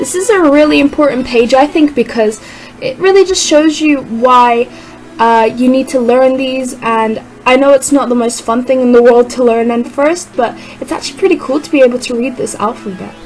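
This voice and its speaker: A high-pitched woman, her pitch varying in an ordinary way, talks at a moderate speed amid noticeable background noise. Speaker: language learning YouTuber. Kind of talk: casual book review vlog.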